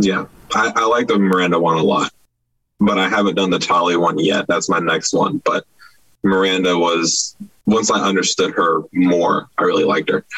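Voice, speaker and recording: Keeping his loudness very even, a man talks at a moderate pace. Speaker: panel participant, gaming fan. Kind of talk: casual chat.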